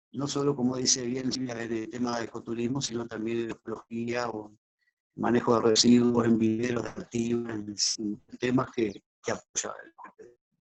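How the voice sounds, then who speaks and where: At medium pitch and a moderate pace, a man speaks with monotone, flat intonation and big swings in loudness. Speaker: ecotourism project participant. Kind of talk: panel discussion.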